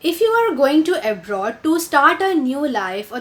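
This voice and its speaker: A woman in an Indian accent, high-pitched, with very wide pitch swings, at a moderate pace. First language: Hindi. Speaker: video blogger. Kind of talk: tutorial. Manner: hesitant, many fillers.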